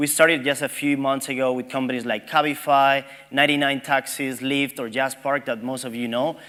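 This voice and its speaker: Delivered at a fairly quick pace, the speech has hardly any pauses and a monotone, flat intonation. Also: man, medium pitch for a man. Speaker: tech company representative. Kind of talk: conference presentation. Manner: fast.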